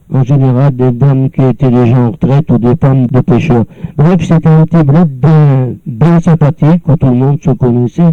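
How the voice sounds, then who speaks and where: At a moderate pace, a man speaks in a dark, mellow tone with very even loudness. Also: ordinary pitch variation, dry, close sound with no echo. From northern France, Nord coast near Dunkirk. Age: 70s. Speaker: elderly former local resident. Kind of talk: personal reminiscence. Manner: halting, with many repeated words.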